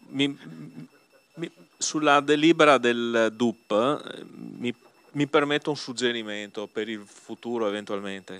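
This man speaks at a fairly slow pace with ordinary pitch variation. Long, frequent pauses break up his speech. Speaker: opposition group leader councillor; council member or councillor. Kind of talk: council debate. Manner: halting, repetitive. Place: hall. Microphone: new microphone.

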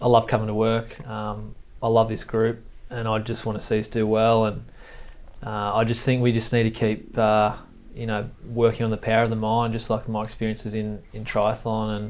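In an Australian accent, a man talks at a moderate pace with monotone, flat intonation. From Tweed, northern New South Wales, Australia; New South Wales, Australia. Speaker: sports high performance manager. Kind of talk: casual interview. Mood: calm, reflective. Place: studio. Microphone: lapel.

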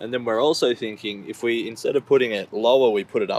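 The voice moves at a fairly quick pace in a dry sound with no echo. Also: man. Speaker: van dweller vlogger. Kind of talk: casual vlog chat. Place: car. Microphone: phone near.

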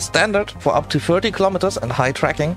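A man speaks at a very fast pace with lively intonation. Music plays in the background. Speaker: gaming video creator. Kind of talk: game tutorial narration.

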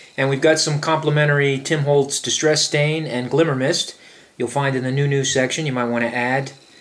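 A man with an American accent, fairly high in pitch and fairly quick, over noticeable background noise. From Brooklyn, New York. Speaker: craft shop presenter. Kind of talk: product demo. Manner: animated.

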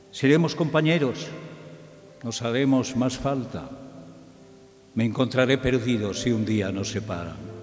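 A man speaks at a medium pitch and a fairly slow pace, with long, frequent pauses. Faint music plays in the background. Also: ordinary pitch variation. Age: old. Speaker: radio broadcaster; journalist. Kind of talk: poetry reading. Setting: theatre recital with choir accompaniment. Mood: tender, nostalgic. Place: stage. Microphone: podium.

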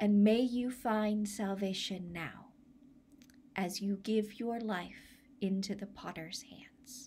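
Over light background noise, a woman speaks at a very slow pace in a gentle, solemn tone. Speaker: church minister leading a service. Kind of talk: blessing prayer, pastoral benediction. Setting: online church video. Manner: slow, gentle and solemn, measured pastoral cadence; warm, reflective, reassuring. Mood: warm, gentle, smiling. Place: home room. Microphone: phone near.

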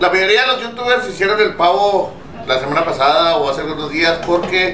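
Over light background noise and audible room echo, a man speaks at a fairly quick pace. His pitch varies in an ordinary way. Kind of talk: casual vlog chat. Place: kitchen. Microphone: phone near.

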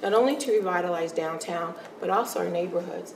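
Over light background noise and audible room echo, a woman speaks at a fairly quick pace. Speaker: city mayor. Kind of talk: casual interview chat. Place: studio.

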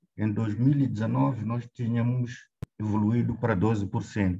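Speaking at a very slow pace with a Mozambican accent, a man has a somewhat breathy voice, a dark, mellow tone, a fairly low pitch and fairly even intonation. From Mozambique. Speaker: government health official; presenter. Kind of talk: presentation. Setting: video call. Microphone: video call.

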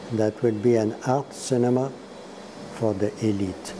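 With a Quebec accent, a man speaks at a fairly slow pace in a monotone, flat intonation amid noticeable background noise. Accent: Québécois French-accented English. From Quebec, Montreal. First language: French. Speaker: priest and film scholar; interview guest. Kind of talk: interview; interview answer. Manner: halting. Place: home room. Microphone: lapel.

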